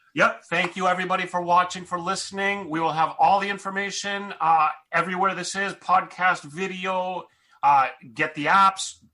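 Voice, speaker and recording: The voice is raised and projected, bright and sharp in tone, with fairly even intonation. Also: man, high pitch for a man, moderate pace. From US. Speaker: podcast host. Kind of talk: podcast intro and interview. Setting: video call.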